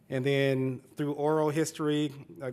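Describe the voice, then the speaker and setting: Speaking in a Southern US accent, a man with a fairly high pitch talks in a monotone, flat intonation. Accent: Southern twang. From Central Florida, Polk County. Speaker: urban planning consultant. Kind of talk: panel presentation.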